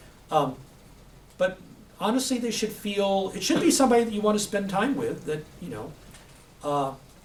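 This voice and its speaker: A man speaks high for a man at a moderate pace, with long, frequent pauses, very wide pitch swings and big swings in loudness. Audible room echo and noticeable background noise surround him. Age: 60s. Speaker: IT professional giving a guest talk. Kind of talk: Q&A talk to a class. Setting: classroom with students. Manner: halting, with many fillers and restarts.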